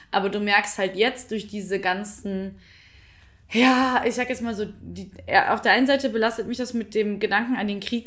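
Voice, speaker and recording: A woman's fairly high pitch, fairly even intonation and moderate pace. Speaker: podcast co-host. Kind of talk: casual chat. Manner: talkative.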